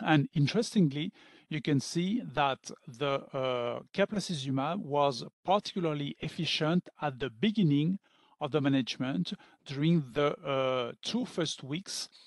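A man's fairly slow delivery with lively intonation, dry with no echo, over a quiet background. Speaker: physician lecturer. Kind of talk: lecture. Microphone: webcam.

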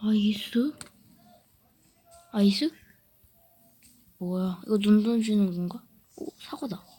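Long, frequent pauses interrupt this very slow speech. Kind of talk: casual game commentary. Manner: excitable, exclamatory.

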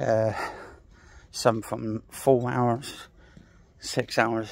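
Through light background noise, a man speaks with monotone, flat intonation in a dry sound with no echo. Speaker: vlogger and gaming live streamer. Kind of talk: walking vlog rant, casual direct-to-camera talk. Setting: outdoors, walking at night. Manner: aggrieved, irritated, defensive; outdoors, talking while walking, rambling with filler words. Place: street. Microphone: phone near.

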